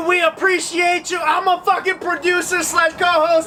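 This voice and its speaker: A man speaks in a raised, projected voice at an extremely high pitch. His fairly slow delivery comes over noticeable background noise. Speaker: podcast co-host and producer. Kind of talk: casual chat.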